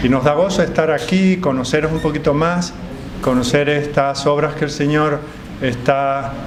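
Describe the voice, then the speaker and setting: A man speaks at a fairly slow pace with a fairly high pitch and fairly even intonation. Noticeable background noise and audible room echo fill the recording. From Canary Islands, Tenerife. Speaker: pastor. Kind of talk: sermon. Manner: frequent filler hesitations.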